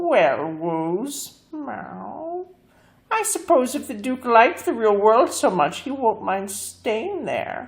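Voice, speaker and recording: A put-on character voice, female-sounding and high-pitched, moves at a very slow pace with very wide pitch swings. The recording is very clean, with a silent background. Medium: read story. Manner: saucy, superior, says meow.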